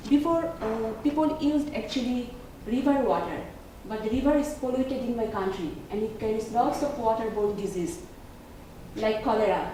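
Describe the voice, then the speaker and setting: A woman with a fairly high voice speaks with lively intonation. Noticeable background noise and audible room echo are present. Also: moderate pace. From Bangladesh. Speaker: graduate student. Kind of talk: class presentation.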